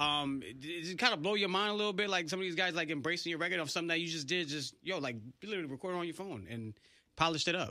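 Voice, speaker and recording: Very fast delivery with a bright, sharp tone moves through ordinary pitch variation. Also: man, high pitch for a man. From New England. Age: 30s. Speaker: radio host. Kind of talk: casual chat. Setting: studio. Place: studio. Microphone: studio mic.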